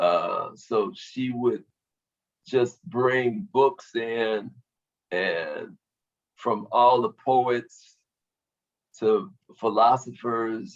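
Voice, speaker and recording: At a very slow pace, a man of medium pitch speaks with long, frequent pauses and ordinary pitch variation. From US Midwest, Cincinnati, Ohio. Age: 60s. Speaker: musician. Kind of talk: interview.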